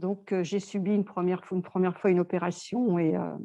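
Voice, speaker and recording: Dry and close with no echo, a woman's dark, mellow voice moves at a fairly quick pace with fairly even intonation. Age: 60s. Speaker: customer giving testimonial. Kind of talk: testimony. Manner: halting, many hesitations.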